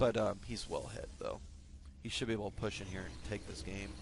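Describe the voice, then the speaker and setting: A man speaks at a fairly quick pace. His pitch sits fairly low, with vocal fry. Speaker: esports shoutcaster. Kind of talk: live game commentary. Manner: stutters at times, many fillers.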